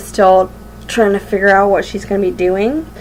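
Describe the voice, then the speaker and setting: Noticeable background noise sits behind a woman whose voice is medium in pitch. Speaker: vlogger. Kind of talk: casual vlog monologue. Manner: halting, many fillers.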